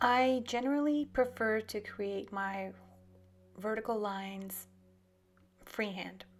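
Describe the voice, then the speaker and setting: Over music in the background, a woman talks at a medium pitch and a fairly slow pace, in a calm, relaxed tone with fairly even intonation. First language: French. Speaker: artist and art tutor. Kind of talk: tutorial. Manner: searching for words at times.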